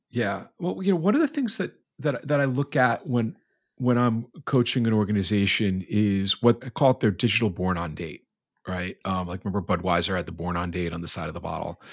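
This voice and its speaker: An ordinary speaking voice from a man, fairly low in pitch, with lively intonation and a fairly quick pace on a very clean recording with a silent background. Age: 40s. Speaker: podcast host. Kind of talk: casual chat.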